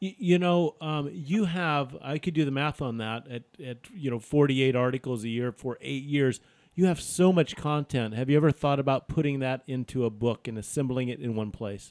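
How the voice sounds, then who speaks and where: Recorded with a dry, close sound and no echo, a man talks at a moderate pace and medium pitch in an unremarkable speaking voice with ordinary pitch variation. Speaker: podcast host. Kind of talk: casual banter and word game.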